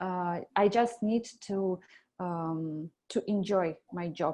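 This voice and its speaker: A woman in a Russian accent talks at a medium pitch. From Belarus. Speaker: animator. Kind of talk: job interview. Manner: halting, many fillers.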